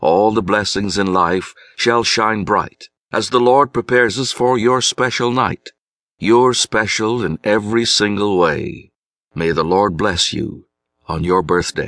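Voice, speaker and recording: Against a quiet background with dry, close sound and no echo, a man in a normal speaking voice talks at a fairly slow pace, fairly low in pitch with ordinary pitch variation. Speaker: audiobook narrator. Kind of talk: poetry reading, audiobook narration of rhyming verse. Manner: measured, rhythmic, reflective.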